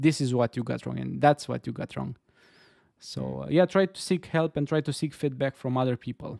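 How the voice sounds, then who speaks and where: A man's fairly high voice with a dark, mellow tone, an Eastern European accent and a fairly quick pace, dry and close with no echo. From Romania. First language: Romanian. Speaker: game dev streamer. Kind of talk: casual chat. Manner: halting.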